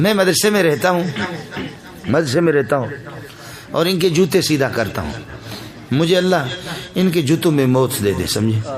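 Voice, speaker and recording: A man with a fairly high pitch and lively intonation takes long, frequent pauses, with audible room echo and noticeable background noise. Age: 50s. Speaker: Islamic cleric. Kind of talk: religious speech. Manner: animated.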